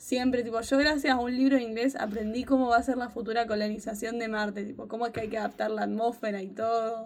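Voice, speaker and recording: On a very clean recording with a silent background, a woman speaks very fast at a fairly high pitch, with hardly any pauses and monotone, flat intonation. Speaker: podcast co-host. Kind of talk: casual chat.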